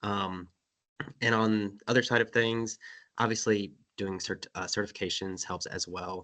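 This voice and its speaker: A man speaks at a moderate pace with a fairly low pitch, a bright, sharp tone and monotone, flat intonation, leaving long, frequent pauses against a quiet background. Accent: North Carolina. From North Carolina. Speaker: panelist in environmental field. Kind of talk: panel webinar discussion.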